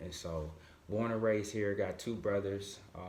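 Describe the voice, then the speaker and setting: At a moderate pace, the somewhat breathy voice carries audible room echo. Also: man. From Michigan, Grand Rapids. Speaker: motivational speaker. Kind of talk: podcast interview.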